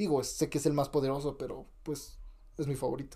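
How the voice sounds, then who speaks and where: A man's dark, mellow tone, somewhat breathy, at a fairly quick pace. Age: 20s. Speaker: podcast host. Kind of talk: casual chat.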